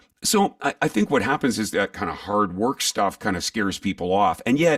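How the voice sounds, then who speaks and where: In a very clean recording with a silent background, a man speaks at a moderate pace with a dry, close sound and no echo. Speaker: voice artist and live event announcer. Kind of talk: interview answer.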